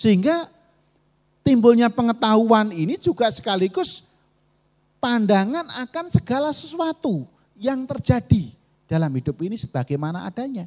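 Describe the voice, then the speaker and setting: The pitch swings very widely while the pace stays moderate. The background is quiet. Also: man, extremely high pitch for a man. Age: 40s. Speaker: Buddhist monk giving a Dhamma talk; Buddhist monk teacher. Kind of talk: dharma talk. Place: hall. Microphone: handheld.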